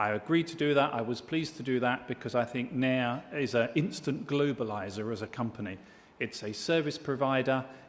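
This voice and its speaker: A man speaks with a British accent. His pace is fairly quick, with ordinary pitch variation. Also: medium pitch for a man. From Britain. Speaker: diplomat and business chairman, award presenter. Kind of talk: award ceremony speech. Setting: stage with audience. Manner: formal.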